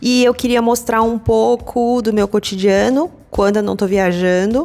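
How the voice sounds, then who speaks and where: Music plays in the background while a woman talks at a fairly slow pace with ordinary pitch variation. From Brazil, São Paulo. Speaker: craft web series host. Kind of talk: casual vlog talk. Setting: coworking space.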